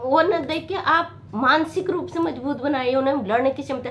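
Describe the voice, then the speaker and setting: Fairly slow, high-pitched speech from a woman, its pitch varying in an ordinary way. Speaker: motivational video maker. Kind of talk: motivational talk to camera. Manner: halting.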